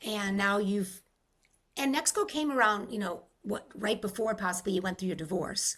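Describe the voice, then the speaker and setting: In a plain, everyday voice, a woman with an American accent talks at a moderate pace and medium pitch, with ordinary pitch variation. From Rhode Island, US. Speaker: podcast host. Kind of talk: interview conversation.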